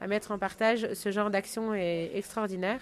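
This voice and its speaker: Here a woman speaks at a moderate pace with fairly even intonation. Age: 40s. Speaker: founder of an ocean exploration school. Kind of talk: interview. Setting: on location near Saint-Malo. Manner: halting, many fillers and repetitions.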